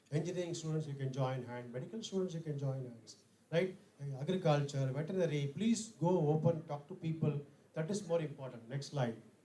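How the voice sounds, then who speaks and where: Heard through noticeable background noise and audible room echo, the speaker has an Indian accent, a fairly quick pace and ordinary pitch variation. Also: man, fairly high pitch for a man. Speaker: conference speaker. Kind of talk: lecture. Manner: fast.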